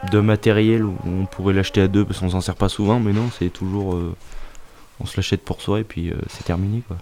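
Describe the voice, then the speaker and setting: A man's dark, mellow, fairly low voice, monotone and flat, at a fairly quick pace. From France, Auvergne. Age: young. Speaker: farming apprentice. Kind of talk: interview. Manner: halting.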